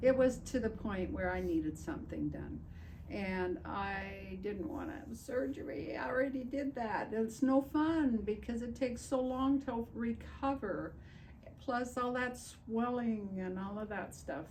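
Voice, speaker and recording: A woman speaks at a fairly slow pace. There is audible room echo and noticeable background noise. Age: 80s+. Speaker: patient. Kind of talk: testimony.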